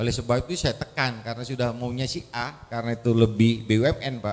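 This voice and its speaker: With faint music in the background, a man at medium pitch talks at a fairly quick pace. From Indonesia. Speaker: government department official; audience member. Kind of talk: question from audience. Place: hall. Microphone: handheld.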